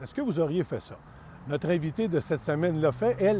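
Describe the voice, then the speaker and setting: Lively intonation marks this man's fairly high-pitched voice. His tone is dark and mellow. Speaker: podcast host. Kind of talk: scripted intro; interview.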